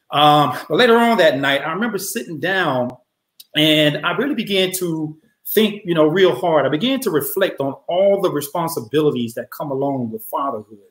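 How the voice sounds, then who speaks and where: There is audible room echo as a man with a high pitch speaks at a moderate pace. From Atlanta, Georgia. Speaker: storyteller. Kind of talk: live personal storytelling. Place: home room. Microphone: webcam.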